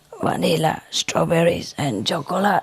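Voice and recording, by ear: A put-on character voice, hoarse and raspy, at a middle pitch and moderate pace.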